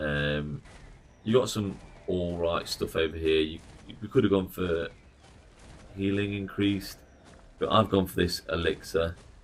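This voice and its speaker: With an English accent, a man speaks at a very deep, low pitch and fairly even intonation. His pace is fairly slow, with long, frequent pauses and big swings in loudness. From England. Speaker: gaming streamer. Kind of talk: live stream commentary. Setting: live stream. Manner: casual, conversational.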